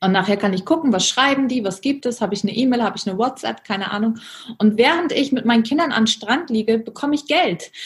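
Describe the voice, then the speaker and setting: Her pitch is fairly high and varies in an ordinary way. The woman speaks very fast. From Germany. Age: 30s. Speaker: business coach. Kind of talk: interview.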